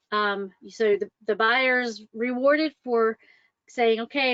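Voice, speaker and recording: A woman's fairly high voice with fairly even intonation. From US South, Atlanta, Georgia. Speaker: mortgage loan officer. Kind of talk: webinar presentation. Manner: casual, many fillers.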